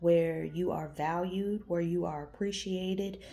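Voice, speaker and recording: A woman's dark, mellow voice, fairly low in pitch, with audible room echo. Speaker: tarot reader. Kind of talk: tarot reading. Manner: casual, conversational.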